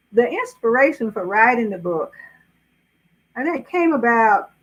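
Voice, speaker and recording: A woman with a Southern US accent speaks at a moderate pace in a fairly high voice, her intonation lively. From US South, South Carolina. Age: 80s+. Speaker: author. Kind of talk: interview.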